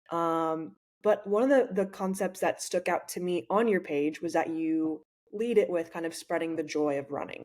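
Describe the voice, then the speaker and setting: In an American accent, a woman speaks at a moderate pace with a fairly low pitch. Hers is a plain, everyday voice with ordinary pitch variation. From United States. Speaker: podcast host. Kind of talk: casual interview.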